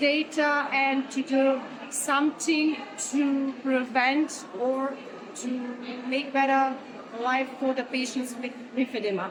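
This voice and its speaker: Against noticeable background noise, a woman speaks at a fairly slow pace in a high pitch for a woman, with monotone, flat intonation. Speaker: oncologist. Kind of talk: interview. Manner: halting.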